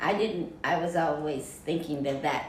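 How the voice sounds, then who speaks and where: Fairly even intonation in an American accent at a moderate pace, with audible room echo and noticeable background noise. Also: woman. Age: 60s. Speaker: military veteran. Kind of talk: casual chat.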